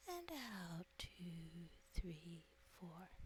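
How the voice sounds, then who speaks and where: A woman speaks in a somewhat breathy, soothing tone with ordinary pitch variation. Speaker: hypnotist. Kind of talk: guided hypnosis. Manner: slow, soothing.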